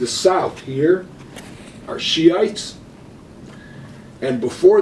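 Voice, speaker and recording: A man's high-pitched voice with an American accent, lively intonation and noticeable background noise. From Cleveland, Ohio, USA. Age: 70s. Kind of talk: interview answer. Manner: blunt, opinionated.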